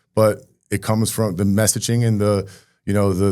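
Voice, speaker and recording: Recorded very cleanly against a silent background, a man talks at a fairly low pitch in a New Jersey accent. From Rahway, New Jersey. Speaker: mayor. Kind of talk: interview answer.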